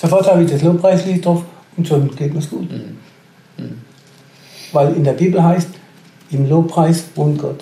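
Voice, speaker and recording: At a moderate pace, a man speaks in a fairly high voice with fairly even intonation. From Karlsruhe area, Baden, Germany. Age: 60s. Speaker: retiree telling his faith story. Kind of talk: testimony.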